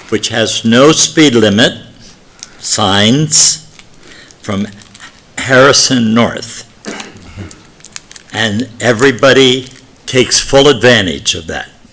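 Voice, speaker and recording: Against noticeable background noise, a man at medium pitch speaks at a very slow pace with long, frequent pauses and ordinary pitch variation. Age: 80s+. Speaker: resident giving public comment. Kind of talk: public comment.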